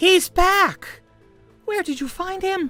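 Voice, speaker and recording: This put-on character voice sits at an extremely high pitch and sounds squeaky. Faint music plays in the background. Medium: actual play.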